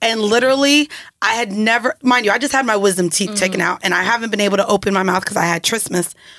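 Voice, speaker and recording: In a bright, sharp, animated tone, a woman talks at a very fast pace with very even loudness, her fairly high pitch showing ordinary variation. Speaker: podcast co-host. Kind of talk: casual chat.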